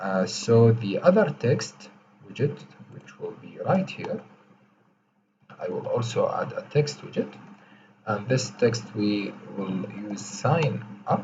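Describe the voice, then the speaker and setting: A man with a non-native accent at a very slow pace, with long, frequent pauses and big swings in loudness. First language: not English. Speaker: coding tutorial creator. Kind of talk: tutorial. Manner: slow, deliberate; hesitant, many fillers.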